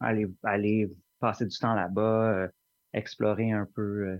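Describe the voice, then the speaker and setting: Speaking at a very slow pace, a man delivers his words in a flat monotone. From Montreal, Quebec. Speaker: singer-songwriter. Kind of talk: interview. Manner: halting, many repetitions.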